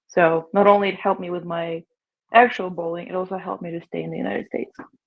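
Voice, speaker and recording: Talking at a very fast pace, a woman with a fairly low pitch keeps her intonation fairly even while her loudness swings widely. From Ukraine. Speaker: professional bowler. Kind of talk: podcast interview.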